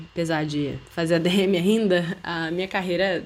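In a plain, everyday voice, a woman speaks with fairly even intonation at a fairly low pitch. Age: 20s. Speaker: podcast host, university student. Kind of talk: casual chat.

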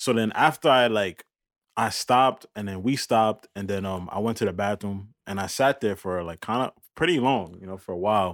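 At a moderate pace, a man speaks in a normal speaking voice with fairly low pitch and ordinary pitch variation, the sound dry and close with no echo on a very clean recording with a silent background. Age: 20s. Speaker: podcast producer and co-host. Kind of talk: casual chat.

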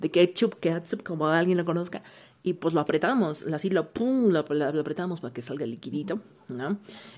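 With lively intonation, a woman speaks fairly quickly at a fairly low pitch. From Mexico. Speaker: listener sending voice messages. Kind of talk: casual chat.

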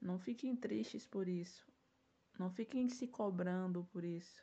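A woman's somewhat breathy, dark and mellow voice at medium pitch, lively in intonation, at a fairly slow pace. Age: 20s. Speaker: self-defense instructor and podcast host. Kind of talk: solo podcast monologue.

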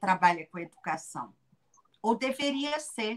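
The woman's high-pitched voice moves at a fairly slow pace. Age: 50s. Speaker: educator and author. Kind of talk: casual interview.

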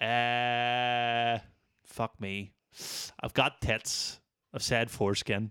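In a Northern Irish accent, a man speaks at a very slow pace with long, frequent pauses, his bright, sharp tone held in monotone, flat intonation, with a dry, close sound with no echo on a very clean recording with a silent background. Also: medium pitch for a man. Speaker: podcast host. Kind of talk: casual chat.

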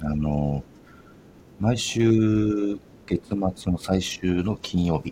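A man speaks with a very deep, low pitch and a relaxed tone. His intonation is lively. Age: 40s. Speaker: podcast host. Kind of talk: casual monologue. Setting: home storage room studio. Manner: relaxed, laughing.

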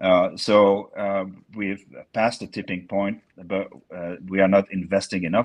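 In a dry, close sound with no echo, a man with a French accent and a fairly low pitch speaks at a moderate pace. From France (Bordeaux area). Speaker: climate scientist and consultant. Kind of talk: interview. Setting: video call. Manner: halting, many fillers.

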